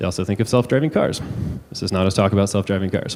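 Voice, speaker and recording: Noticeable background noise sits behind a man's fairly low-pitched voice. His intonation stays fairly even. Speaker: tech company civic innovation advisor. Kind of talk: conference talk. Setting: stage with audience. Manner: hesitant, many fillers.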